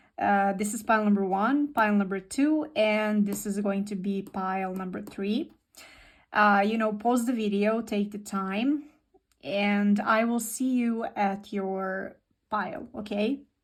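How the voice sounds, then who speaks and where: A woman with a non-native accent speaks at a fairly slow pace and medium pitch, her pitch varying in an ordinary way, on a very clean recording with a silent background. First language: not English. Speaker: tarot reader. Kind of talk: tarot reading. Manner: repetitive, hesitant.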